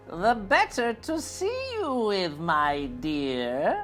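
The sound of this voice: A man's high-pitched, fairly bright put-on character voice, very slow and with very wide pitch swings, over faint music in the background.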